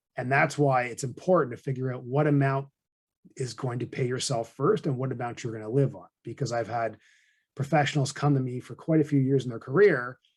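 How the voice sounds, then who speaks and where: A man speaks at a medium pitch and a fairly quick pace, sounding somewhat breathy. His loudness swings widely. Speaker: financial advisor and podcast host. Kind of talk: conversational podcast explanation. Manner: monotone.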